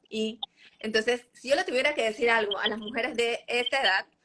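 A woman speaks at a fairly high pitch in an unremarkable speaking voice. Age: 30s. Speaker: nutritionist. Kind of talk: interview.

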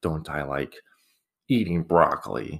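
In a very clean recording with a silent background, a man with an American accent speaks in a very deep, low pitch with ordinary pitch variation. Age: 20s. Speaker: podcaster. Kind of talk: casual monologue. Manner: halting.

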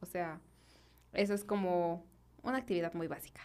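A woman with a central Mexican accent and a fairly low pitch speaks at a fairly quick pace, her intonation fairly even. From Mexico, Guanajuato. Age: 20s. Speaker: architect. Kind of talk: casual interview chat. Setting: studio.

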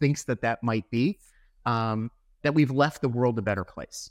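A plain, everyday voice with ordinary pitch variation, in a dry, close sound with no echo and a quiet background. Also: man. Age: 50s. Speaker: company founder and president. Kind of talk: interview conversation.

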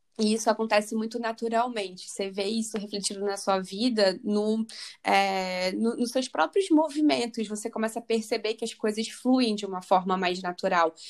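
A woman with a normal speaking voice and fairly high pitch talks at a moderate pace with ordinary pitch variation and hardly any pauses, on a very clean recording with a silent background. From Rio de Janeiro, Brazil. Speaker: spiritual coach and biologist. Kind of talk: interview.

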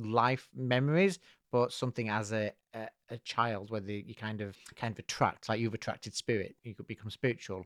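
At a fairly quick pace, a man speaks in a plain, everyday voice of medium pitch with ordinary pitch variation, the sound dry and close with no echo. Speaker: podcast host. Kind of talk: casual chat. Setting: remote recording.

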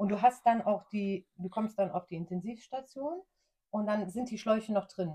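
Moderately paced and somewhat breathy, a woman's voice sits at a medium pitch with a dark, mellow tone and ordinary pitch variation. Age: 40s. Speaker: cancer survivor. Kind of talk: interview.

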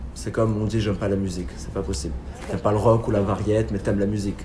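At a very fast pace, a man speaks with a fairly low pitch and ordinary pitch variation, with audible room echo and noticeable background noise. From southern France. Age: 20s. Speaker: theatre director and actor. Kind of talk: casual interview.

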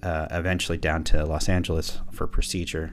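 With music in the background, a man speaks at a moderate pace. His very deep, low voice holds a monotone, flat intonation. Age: 50s. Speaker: business coach and podcast host. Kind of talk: solo podcast monologue. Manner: reflective, with hesitations.

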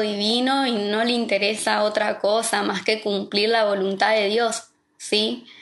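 Audible room echo surrounds a woman who talks at a fairly slow pace in a fairly high pitch, her intonation monotone and flat. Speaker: pastor's wife and preacher. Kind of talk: sermon. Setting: online livestream.

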